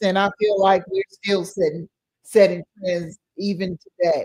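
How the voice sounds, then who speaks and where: A somewhat breathy woman at a medium pitch, speaking at a fairly slow pace. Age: 60s. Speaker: podcast host. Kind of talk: casual live podcast chat. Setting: live online stream. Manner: halting, many fillers.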